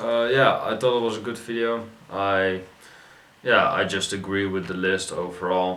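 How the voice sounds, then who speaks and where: A man with a non-native accent, fairly low-pitched, at a moderate pace, amid audible room echo and noticeable background noise. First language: not English. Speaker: YouTube reaction video host. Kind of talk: casual video reaction commentary. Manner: halting, many fillers and restarts.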